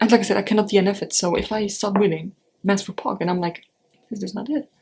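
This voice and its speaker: Speaking in a German accent, a woman with a medium pitch talks at a very fast pace. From Europe. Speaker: book vlogger. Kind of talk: casual vlog.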